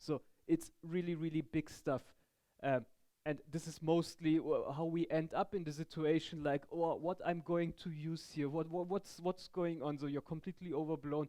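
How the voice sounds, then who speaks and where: In a German accent, a man speaks at a moderate pace with a dark, mellow tone, a fairly high pitch and monotone, flat intonation. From Germany. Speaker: tech conference speaker. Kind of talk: technical talk. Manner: halting.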